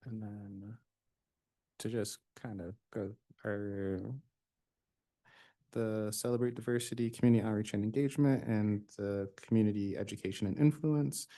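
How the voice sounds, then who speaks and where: A soft-spoken man's dark, mellow, fairly low voice at a moderate pace, with ordinary pitch variation, big swings in loudness, long and frequent pauses, and a quiet background. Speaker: commission member. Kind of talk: public meeting discussion. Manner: halting.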